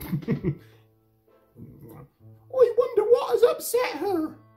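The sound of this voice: An extremely high put-on character voice at a very slow pace over faint background music.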